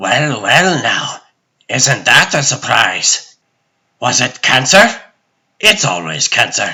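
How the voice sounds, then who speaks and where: A man with a medium pitch does a put-on character voice at a fairly slow pace. His pitch swings very widely, and he pauses long and often. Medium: fan dub. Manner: rambling, philosophical, whimsical.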